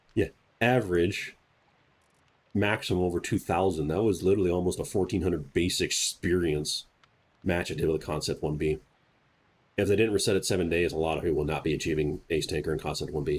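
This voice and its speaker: Somewhat breathy and very deep, low in pitch, a man talks at a very fast pace with long, frequent pauses on a very clean recording with a silent background. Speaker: gaming YouTuber. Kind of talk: gameplay commentary tutorial.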